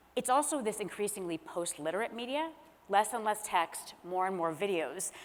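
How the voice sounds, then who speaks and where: In an American accent, a woman with an ordinary speaking voice and a medium pitch talks at a moderate pace with lively intonation. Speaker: author and former speechwriter. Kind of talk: panel discussion. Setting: stage with audience.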